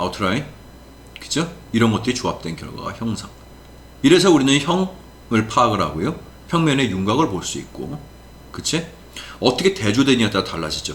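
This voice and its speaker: A man at medium pitch with very wide pitch swings and long, frequent pauses, in audible room echo. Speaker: professor. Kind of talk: lecture. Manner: fast.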